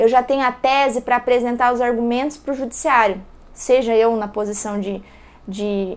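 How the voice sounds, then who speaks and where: Speaking at a moderate pace, a woman has a high-pitched voice. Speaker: law professor. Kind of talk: lecture.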